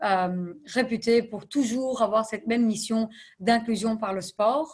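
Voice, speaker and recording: Somewhat breathy, a woman speaks at a fairly slow pace and fairly high pitch with ordinary pitch variation. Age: 30s. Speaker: non-profit executive. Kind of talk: interview.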